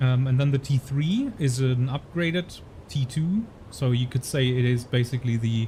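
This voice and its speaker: Dark and mellow in tone, a man's medium-pitched voice sounds somewhat breathy. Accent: German. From Germany. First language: German. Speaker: gaming streamer, ex-navy officer. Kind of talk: live gameplay commentary. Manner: halting, many repeated words.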